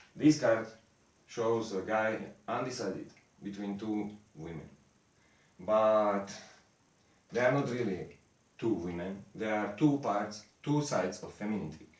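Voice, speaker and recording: A man's fairly low voice at a fairly slow pace, with long, frequent pauses, ordinary pitch variation and audible room echo. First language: not English. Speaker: esoteric lecturer. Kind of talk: lecture. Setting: improvised home studio in the mountains. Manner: halting.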